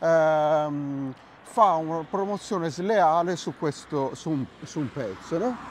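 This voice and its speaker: A man speaks at a very slow pace with a fairly high pitch. His pitch varies in an ordinary way. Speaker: channel host and music producer. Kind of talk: casual chat. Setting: outdoors.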